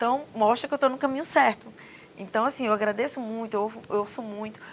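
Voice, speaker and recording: A woman at a very fast pace with a strong northeastern Brazilian accent. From Northeast Brazil, Mossoró (Rio Grande do Norte). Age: 40s. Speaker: government official. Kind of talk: interview.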